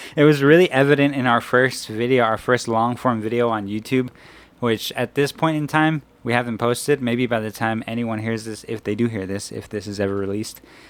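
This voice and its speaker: A man mumbling at a fairly quick pace. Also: medium pitch for a man, ordinary pitch variation. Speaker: podcast co-host. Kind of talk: casual chat.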